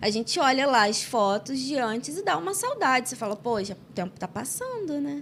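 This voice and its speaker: With noticeable background noise present, a woman in a high pitch talks at a moderate pace with hardly any pauses and very wide pitch swings. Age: 30s. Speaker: podcast host. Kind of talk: casual interview chat.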